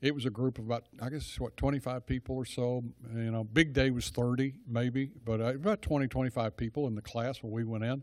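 A medium-pitched man with a Texan accent, fairly quick and with hardly any pauses, his intonation fairly even, on a very clean recording with a silent background. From Texas (Dallas). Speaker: church small-group leader. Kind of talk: church talk to a group. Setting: church gathering with audience. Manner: rambling, digressive.

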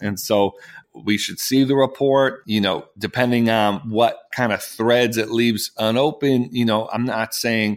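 Speaking at a moderate pace, a man with a medium-pitched voice keeps a monotone, flat intonation in a very clean recording with a silent background. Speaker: podcast co-host. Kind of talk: casual political discussion podcast. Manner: earnest, slightly halting, repeats words.

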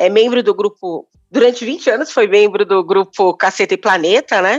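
A woman with medium pitch talks at a moderate pace in an ordinary speaking voice. The sound is dry and close, with no echo. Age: 50s. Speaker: podcast host. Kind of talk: interview; scripted intro.

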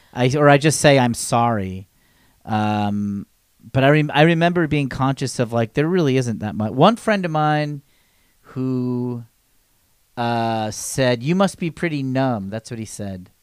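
This man has an ordinary speaking voice at a medium pitch. He talks at a fairly slow pace with lively intonation. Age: 40s. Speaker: podcast guest. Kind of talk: casual chat.

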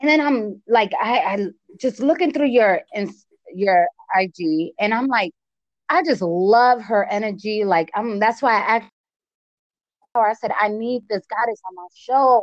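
With an American accent, a woman with a fairly high pitch speaks in an animated tone with lively intonation and long, frequent pauses, the sound dry and close with no echo. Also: fairly slow pace. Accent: East Coast accent, compared to Cardi B. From US East Coast, Connecticut. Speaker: podcast host. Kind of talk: casual interview chat. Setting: remote call.

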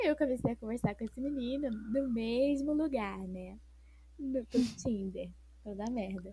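Speaking at a fairly slow pace, a woman uses a dark, mellow tone at a fairly high pitch with ordinary pitch variation. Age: 20s. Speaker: psychology student and English teacher. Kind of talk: casual chat. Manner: animated.

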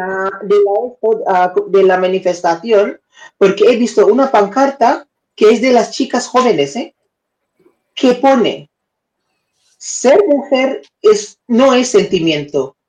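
Speaking with a non-native accent, a woman uses a fairly high pitch and lively intonation at a very slow pace, with long, frequent pauses. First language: not Spanish (speaking Spanish). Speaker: live-stream news and debate co-host. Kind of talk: casual live-stream chat. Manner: halting, searching for words.

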